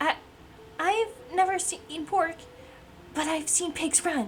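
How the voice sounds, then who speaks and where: A woman puts on a character voice at an extremely high pitch. She speaks fairly slowly over clear background noise. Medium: virtual streamer. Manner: smug, mocking.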